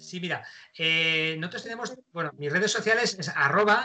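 A man's bright, sharp tone at a fairly slow pace, with lively intonation. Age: 50s. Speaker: radio host, actor and pilot. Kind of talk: casual interview.

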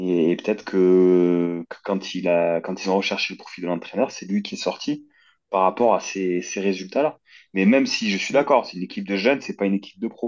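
A man's fairly low voice with ordinary pitch variation at a moderate pace, an ordinary speaking voice against a quiet background. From Toulouse region, France. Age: 30s. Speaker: football podcast co-host. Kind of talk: casual debate.

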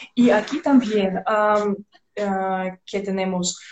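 A woman with a Russian accent, somewhat breathy, at a very slow pace with ordinary pitch variation. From Belarus. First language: Russian (speaking Spanish). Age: 20s. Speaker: radio host, Spanish learner. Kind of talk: casual interview chat. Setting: Instagram live stream. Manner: halting, many fillers.

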